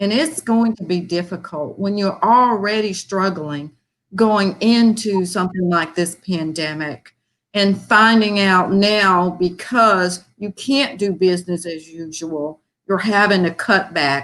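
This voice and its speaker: A woman at a medium pitch talks very slowly, her pitch varying in an ordinary way. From US South (Birmingham, Alabama area). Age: 60s. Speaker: foundation volunteer. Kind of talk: appeal speech.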